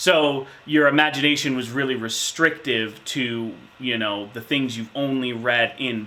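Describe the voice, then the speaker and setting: The tone is bright and sharp, with ordinary pitch variation. Delivery moves at a fairly slow pace. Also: man. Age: 30s. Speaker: insurance manager, tabletop gamer interviewee. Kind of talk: interview answers. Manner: hesitant with fillers.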